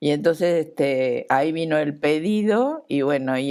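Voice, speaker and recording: The recording is very clean, with a silent background. A woman with a very deep, low pitch speaks at a fairly slow pace. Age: 60s. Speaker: Falklands war veteran, surgical instrument nurse. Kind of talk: TV interview testimony.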